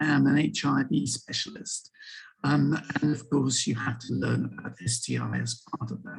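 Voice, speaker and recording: Music runs in the background while the speech moves at a moderate pace. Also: man. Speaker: infectious disease doctor. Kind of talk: lecture.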